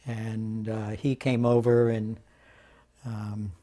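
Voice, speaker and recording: Speaking at medium pitch with an American accent, a man has a dark, mellow tone and fairly even intonation. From New York City. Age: 80s+. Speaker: immunologist. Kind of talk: oral history interview. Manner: halting.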